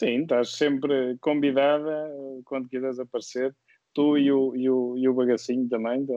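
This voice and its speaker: A man at a moderate pace, his intonation monotone and flat. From Viseu, central Portugal. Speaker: guest, sim racing driver. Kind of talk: casual interview. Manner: hesitant, repeats words.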